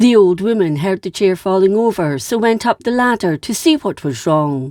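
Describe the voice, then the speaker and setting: Music plays in the background as a woman with a Scottish accent speaks at medium pitch with very wide pitch swings, in a dry, close sound with no echo. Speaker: history narrator. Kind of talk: history storytelling narration.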